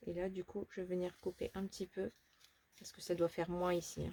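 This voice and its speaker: Soft-spoken and somewhat breathy, a woman with a dark, mellow tone and medium pitch talks at a fairly quick pace, her intonation fairly even but her loudness swinging widely. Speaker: papercraft tutorial youtuber. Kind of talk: tutorial. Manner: casual.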